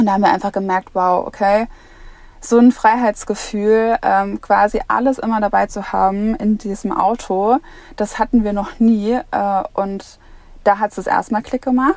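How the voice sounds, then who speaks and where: This woman speaks at a moderate pace in a fairly high pitch, with fairly even intonation. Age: 20s. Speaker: family traveller and social media creator. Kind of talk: podcast interview. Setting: inside a motorhome.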